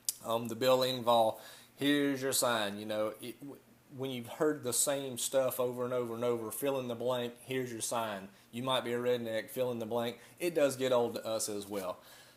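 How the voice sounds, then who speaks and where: At a moderate pace, a man with a Southern US accent speaks at a medium pitch with fairly even intonation. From US South. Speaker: vlogger. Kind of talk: casual vlog monologue. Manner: halting, many fillers.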